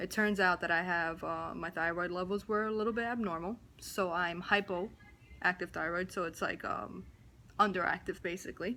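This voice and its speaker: The voice carries a New Jersey accent, a bright, sharp tone and vocal fry. Its pace is moderate and the intonation fairly even. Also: woman. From New Jersey, US. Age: 20s. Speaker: vlogger. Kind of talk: personal vlog, testimony. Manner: casual, with many fillers.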